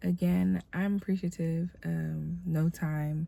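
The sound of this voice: A woman's nasal voice with vocal fry and a dark, mellow tone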